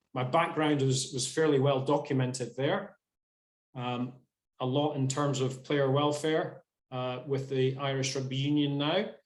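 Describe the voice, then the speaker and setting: A man's fairly high voice in a Scottish accent, at a fairly slow pace with fairly even intonation. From Scotland. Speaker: sports physiotherapist. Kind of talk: webinar presentation. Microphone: without headset.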